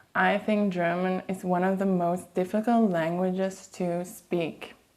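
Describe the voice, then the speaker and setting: A woman with a Flemish Belgian accent talks at a fairly slow pace and medium pitch, her intonation monotone and flat. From Flanders, Belgium. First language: Dutch (Flemish). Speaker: language teacher and vlogger. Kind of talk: educational vlog.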